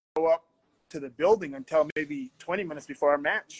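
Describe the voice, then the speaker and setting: A man talking at a fairly quick pace, with a dry, close sound and no echo. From Canada, Calgary. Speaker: professional wrestler. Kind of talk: casual chat. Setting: video call.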